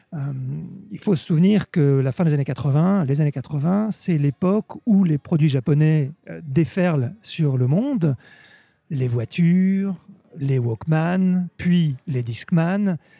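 A man talks at a very slow pace in a fairly high pitch. His tone is dark and mellow, with ordinary pitch variation. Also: dry, close sound with no echo. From Normandy, France. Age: 50s. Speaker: sake expert. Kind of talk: interview. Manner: halting, repeats words.

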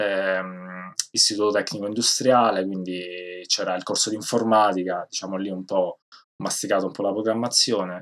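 A man's fairly low voice in monotone, flat intonation at a moderate pace. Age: 30s. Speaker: game programmer. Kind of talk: interview.

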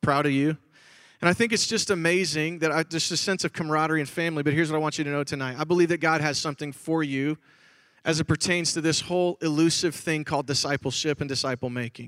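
A man with an American accent talks very fast at a fairly high pitch. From Chicago, Illinois. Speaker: pastor. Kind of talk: conference talk. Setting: stage with audience. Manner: animated.

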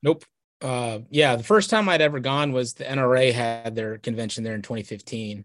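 A man speaks in a normal speaking voice with an American accent. His pace is fairly quick and his pitch variation ordinary. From Texas. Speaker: hunting advocacy lobbyist. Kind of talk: casual interview.

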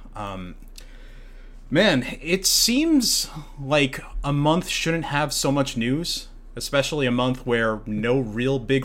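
Lively intonation runs through a man's speech at a medium pitch. He has a normal speaking voice. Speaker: podcast host. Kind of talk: casual chat.

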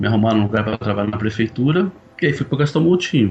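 Music plays behind the speaker. This man's pitch swings very widely. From São Paulo, Brazil. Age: 50s. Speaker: conductor. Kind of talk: casual chat.

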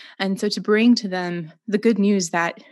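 A woman speaks in an ordinary speaking voice with an American accent, at medium pitch and a moderate pace, with ordinary pitch variation over a quiet background. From Romania and US, missionary's daughter. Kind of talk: interview conversation.

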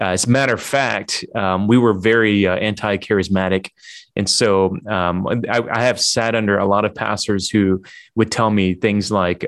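An unremarkable speaking voice from a man, fairly low-pitched, with fairly even intonation and a moderate pace against a quiet background. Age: 40s. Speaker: church planting leader. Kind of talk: webinar interview.

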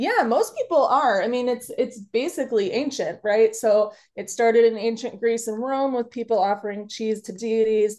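A woman with an ordinary speaking voice talks at a moderate pace with hardly any pauses. Her pitch is fairly high with ordinary variation, and the background is quiet. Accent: American. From Chicago. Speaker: kitchen witch and workshop teacher. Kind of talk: casual interview.

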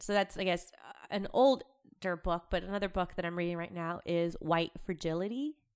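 A woman's plain, everyday voice, fairly low-pitched, at a moderate pace with ordinary pitch variation. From US South (Athens, Georgia), born in Peru. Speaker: program manager at a tech company. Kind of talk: interview conversation.

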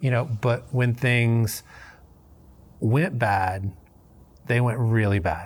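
A man with a Southern US accent speaks at a fairly slow pace in a somewhat breathy voice on a very clean recording with a silent background. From US South, Memphis, Tennessee. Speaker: recovering alcoholic, Air Force veteran. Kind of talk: personal testimony interview. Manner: casual, many fillers.

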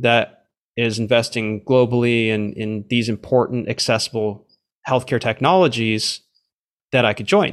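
A man with a plain, everyday voice speaks at a fairly slow pace on a very clean recording with a silent background. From Canada. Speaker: venture capital investor. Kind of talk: interview.

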